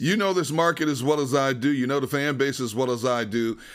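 A man with an American accent in a normal speaking voice, medium pitch, ordinary pitch variation and a moderate pace. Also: very clean recording, silent background. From Wisconsin. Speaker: sports podcast host. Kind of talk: casual sports interview.

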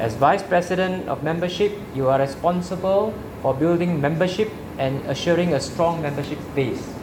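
A man speaks with a high pitch. Noticeable background noise can be heard. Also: ordinary pitch variation, moderate pace. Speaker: club mentor installing officers. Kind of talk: ceremonial speech.

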